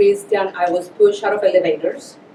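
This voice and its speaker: A woman's voice with a strong Colombian accent and ordinary pitch variation over noticeable background noise. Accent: heavy Colombian Spanish. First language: Spanish. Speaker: Spanish teacher. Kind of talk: casual interview.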